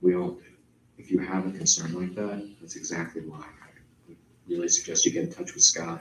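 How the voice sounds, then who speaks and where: Soft-spoken, a man with a very deep, low pitch talks at a fairly quick pace in a monotone, flat intonation. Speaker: agency attorney. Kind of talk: public meeting Q&A.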